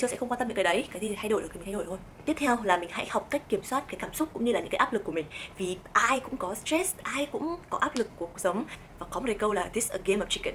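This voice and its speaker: A woman's fairly high, animated voice at a very fast pace with lively intonation, over noticeable background noise. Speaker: vlogger. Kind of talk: vlog advice talk.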